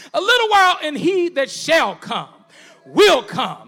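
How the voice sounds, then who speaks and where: A man speaks in a raised, projected voice with an animated tone and very wide pitch swings. Noticeable background noise runs underneath. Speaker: preacher. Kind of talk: sermon. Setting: church. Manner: animated, call-and-response preaching with congregation; conversational, humorous, warm.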